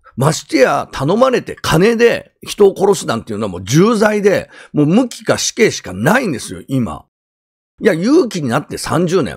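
A man speaking at a moderate pace. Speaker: YouTuber and ex-convict commentator. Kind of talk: crime news commentary monologue. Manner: rambling, many filler words.

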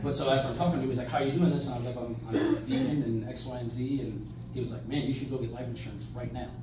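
A man talking at a very fast pace with hardly any pauses, amid noticeable background noise and audible room echo. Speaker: company owner giving an informal group talk. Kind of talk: lecture with personal anecdote. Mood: animated, conversational. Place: hall. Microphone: camera far.

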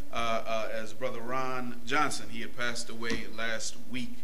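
Moderate-tempo speech from a man, with noticeable noise behind it. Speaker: minister preaching. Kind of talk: sermon. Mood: warm, fond remembrance. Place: church.

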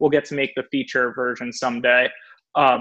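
The background is quiet while a man talks with monotone, flat intonation. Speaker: guest. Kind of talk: interview answer. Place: home room. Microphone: video call.

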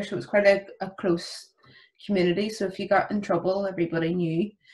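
The background stays quiet as a woman speaks in a Belfast accent. She keeps a moderate pace with ordinary pitch variation. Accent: Belfast Northern Irish. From Northern Ireland, West Belfast; Northern Ireland. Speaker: youth work alumna; podcast guest. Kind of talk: casual interview. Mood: warm, reflective, laughing. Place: home room. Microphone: video call.

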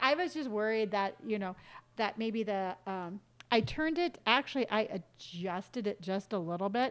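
A woman is speaking. Her pace is moderate. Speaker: game streamer. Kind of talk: casual live-stream chat. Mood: warm, friendly. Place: home room.

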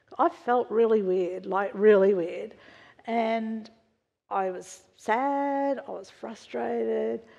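Over a quiet background, a woman with an Australian accent speaks very slowly at a fairly high pitch, her dark, mellow tone showing ordinary pitch variation and big swings in loudness. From Australia, western Sydney. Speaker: church member sharing testimony; preacher. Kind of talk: testimony. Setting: church. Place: church.

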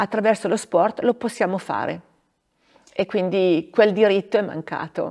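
Long, frequent pauses at a fairly slow pace against a quiet background. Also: woman, fairly even intonation. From northern Italy, Bergamo area; northern Italy. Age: 50s. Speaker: former ski racer and regional politician; regional politician. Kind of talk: interview. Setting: theatre. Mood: calm, warm, reflective. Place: stage.

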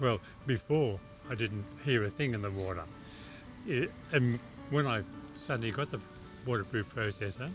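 Clear music plays in the background, and the sound is dry with no echo. A man speaks at a moderate pace with long, frequent pauses. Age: 70s. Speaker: cochlear implant recipient. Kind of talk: interview answer. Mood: warm, enthusiastic. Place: garden.

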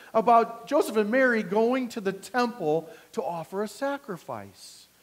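A man talks at a moderate pace, his intonation lively throughout. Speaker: pastor. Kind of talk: sermon. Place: church.

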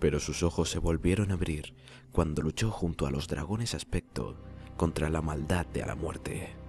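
Music plays behind a man whose voice is very deep and low. He keeps a moderate pace with ordinary pitch variation. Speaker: narrator. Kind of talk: game lore narration.

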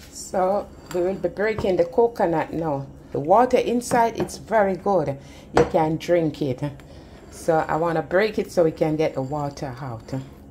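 The woman speaks at a moderate pace in a fairly low pitch. Noticeable background noise runs behind her. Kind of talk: tutorial. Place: kitchen. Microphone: phone near.

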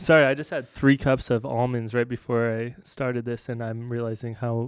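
A man at a moderate pace, flat and monotone in intonation, dry with no echo, over a quiet background. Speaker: podcast co-host. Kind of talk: casual podcast storytelling. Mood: amused, laughing while telling story. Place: studio. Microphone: studio mic.

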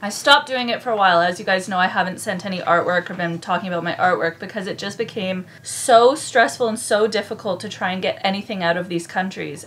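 A woman's very fast delivery with hardly any pauses and ordinary pitch variation. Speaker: sailing vlogger. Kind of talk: casual vlog chat. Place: boat. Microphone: phone near.

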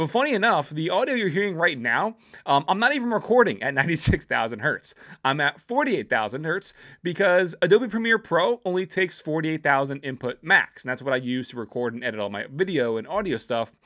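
A man talks at a very fast pace in a bright, sharp tone, his pitch swinging very widely against a quiet background. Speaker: tech reviewer. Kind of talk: product review talk. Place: home room. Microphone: studio mic.

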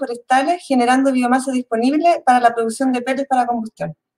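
Against a quiet background, the speaker talks at a very fast pace. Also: woman. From Chile. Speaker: university researcher and project leader. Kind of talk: conference presentation. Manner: halting, many fillers. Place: home room. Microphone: webcam.

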